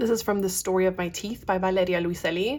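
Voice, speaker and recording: The recording is very clean with a silent background. On it, a woman talks at a medium pitch. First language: Spanish. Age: 30s. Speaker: booktuber sharing commonplace book quotes. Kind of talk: casual chat with quotes read aloud. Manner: casual, thinking aloud.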